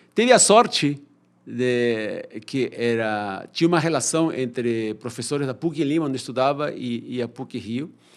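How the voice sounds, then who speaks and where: At a fairly slow pace, the speaker uses lively intonation in a very clean recording with a silent background. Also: man. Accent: Peruvian. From Peru. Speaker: economist and professor. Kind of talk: podcast interview. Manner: halting, with repeated fillers.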